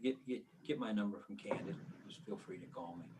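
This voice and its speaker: A man speaks in a fairly low pitch. His voice is somewhat breathy. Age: 70s. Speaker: criminal defense attorney. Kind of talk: casual chat.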